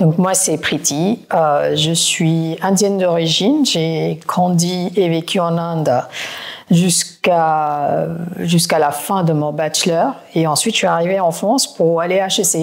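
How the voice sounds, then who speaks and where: The voice moves at a very slow pace with ordinary pitch variation and very even loudness, over noticeable background noise. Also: woman, fairly low pitch for a woman. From India (Kolkata). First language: not French (learned it as an adult) (speaking French). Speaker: private equity executive. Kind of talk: podcast interview.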